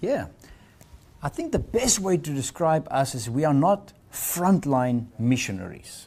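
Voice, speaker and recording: A man speaks at a fairly slow pace in a fairly high pitch, with very wide pitch swings. His tone is dark and mellow and somewhat breathy. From South Africa. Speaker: missionary leader. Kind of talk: interview.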